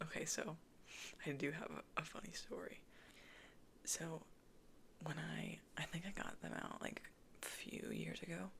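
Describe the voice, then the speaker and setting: Whispering broken by long, frequent pauses. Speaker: ASMR creator. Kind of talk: casual soft-spoken Q&A chat. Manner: soft-spoken.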